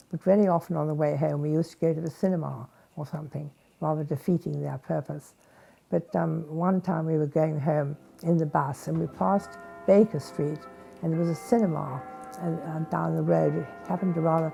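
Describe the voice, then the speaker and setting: Music plays in the background as a woman talks fairly quickly. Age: 80s+. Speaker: war veteran. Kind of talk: interview. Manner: hesitant.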